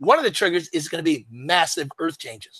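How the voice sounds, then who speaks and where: A man with an American accent speaks in a raised, projected voice with a bright, sharp tone. His delivery is animated, and his pitch swings very widely. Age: 70s. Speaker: author and economic commentator. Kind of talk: interview. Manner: halting.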